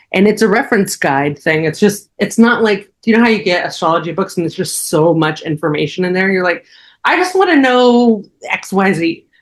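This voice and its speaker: A woman's medium-pitched, unremarkable speaking voice, fairly quick and lively in intonation, on a very clean recording with a silent background. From New Jersey. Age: 40s. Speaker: astrologer. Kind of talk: casual interview chat.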